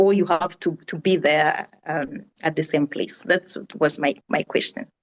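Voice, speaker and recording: Delivered at a fairly slow pace in a Rwandan accent, the voice shows ordinary pitch variation, with a dry, close sound and no echo. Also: woman. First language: Kinyarwanda. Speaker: audience member asking a question. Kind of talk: Q&A question in video call. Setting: video call. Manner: halting, many fillers and repetitions.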